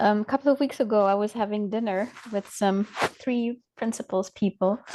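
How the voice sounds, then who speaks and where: A woman with a non-native accent and a dark, mellow tone speaks at a fairly high pitch and a moderate pace. Her intonation is fairly even, and the sound is dry and close with no echo. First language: not English. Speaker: coach, call participant. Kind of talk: casual chat. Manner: halting.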